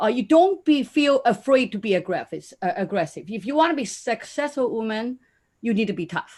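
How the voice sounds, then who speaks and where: A woman speaks in a Chinese accent with lively intonation. Her voice is somewhat breathy. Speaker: conference panelist, business mentor. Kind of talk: panel discussion. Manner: halting.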